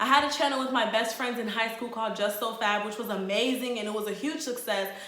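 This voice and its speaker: Through noticeable background noise and audible room echo, a woman with an American accent and a fairly high pitch speaks at a fairly quick pace. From Sierra Leone and Charlotte, North Carolina. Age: 20s. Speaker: vlogger, Air Force service member. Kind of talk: casual vlog intro. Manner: casual, chatty.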